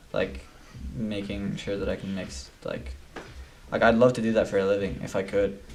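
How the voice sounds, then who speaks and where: With vocal fry and lively intonation, a man speaks at a moderate pace and a fairly low pitch, leaving long, frequent pauses. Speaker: musician and producer. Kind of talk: casual chat. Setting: studio.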